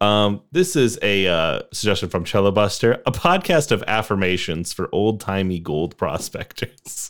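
With a normal speaking voice, a man talks at a moderate pace in a fairly low pitch with lively intonation, recorded very cleanly against a silent background. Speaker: podcast co-host. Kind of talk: casual banter. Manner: laughs often.

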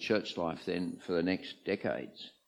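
A man with an Australian accent speaks at a moderate pace in a very deep, low pitch. The background is quiet. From Australia, Sydney eastern suburbs. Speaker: retired archbishop. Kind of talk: interview before a live audience. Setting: church with audience.

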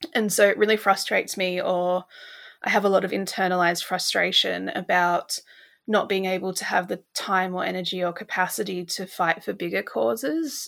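In an Australian accent, a woman of medium pitch speaks at a moderate pace with ordinary pitch variation. The recording is very clean, with a silent background. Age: 20s. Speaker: dietitian. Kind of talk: casual chat.

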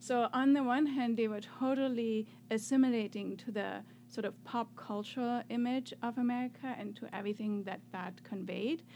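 Speaking with a German accent, a woman with a fairly high pitch keeps a moderate pace and fairly even intonation. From Germany (north, then Swabia). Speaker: professor. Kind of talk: interview. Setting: studio.

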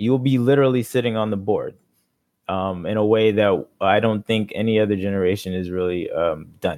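A man talks at a fairly quick pace. He has a plain, everyday voice. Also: fairly low pitch for a man, ordinary pitch variation. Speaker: campaign manager. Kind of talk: casual interview chat. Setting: video call.

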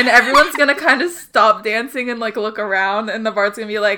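A natural voice reads aloud. Its pitch shifts in an ordinary way.

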